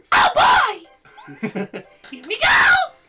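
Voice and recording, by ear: This is a put-on character voice, shrill and squeaky at an extremely high pitch. It comes out as shouting.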